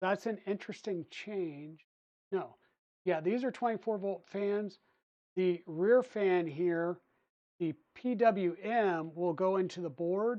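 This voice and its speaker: Against a quiet background, a woman with a relaxed tone and medium pitch speaks at a very slow pace, with ordinary pitch variation and long, frequent pauses. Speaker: 3D printing streamer. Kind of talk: casual live-stream build tutorial. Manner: relaxed, thinking aloud; mumbling to himself.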